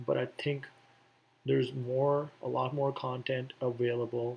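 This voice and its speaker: Speaking very slowly, a man delivers his words. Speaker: coding tutorial youtuber. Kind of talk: casual tutorial talk. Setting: at home, indoors. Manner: quiet, hesitant with fillers.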